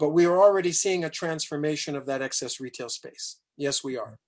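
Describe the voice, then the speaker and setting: Talking at a fairly quick pace, a man with an American accent has a fairly high pitch. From New York City, raised partly in Africa. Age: 60s. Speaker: business consultant, guest speaker. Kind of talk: online Q&A talk. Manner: animated.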